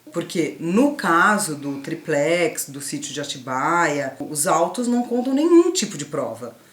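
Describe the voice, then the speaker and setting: Speaking at a very slow pace, a woman with a fairly low pitch shows very wide pitch swings and big swings in loudness over noticeable background noise. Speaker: youtuber. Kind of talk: didactic casual conversation. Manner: stutters sometimes.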